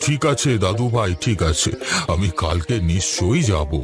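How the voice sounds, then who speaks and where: Cartoonish character voice at a moderate pace, over clear background noise. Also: man, fairly low pitch for a man. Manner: gentle, affectionate.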